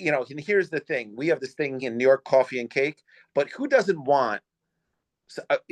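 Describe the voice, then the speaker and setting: Speaking in a normal speaking voice at a fairly high pitch, a man uses lively intonation at a moderate pace, the sound dry and close with no echo. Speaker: podcast host, baker. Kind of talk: podcast conversation.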